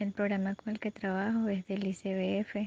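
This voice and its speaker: Somewhat breathy and dark, mellow in tone, a woman speaks at medium pitch with monotone, flat intonation. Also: dry, close sound with no echo. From Colombia, La Guajira. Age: 20s. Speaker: community educator. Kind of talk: self-introduction.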